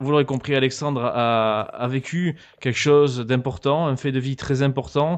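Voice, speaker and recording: The pace is moderate. The intonation stays fairly even. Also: man, medium pitch for a man, quiet background. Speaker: gaming youtuber. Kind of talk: interview. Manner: calm.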